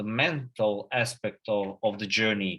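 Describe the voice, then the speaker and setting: Speaking with a Serbian accent, a man has a bright, sharp tone in a very clean recording with a silent background. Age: 20s. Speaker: agency founder and CEO. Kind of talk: conference talk. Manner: halting, many fillers and repetitions.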